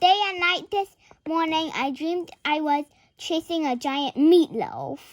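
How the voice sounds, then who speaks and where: A woman puts on a character voice pitched extremely high, speaking fairly slowly. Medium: read story. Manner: chatty, blunt.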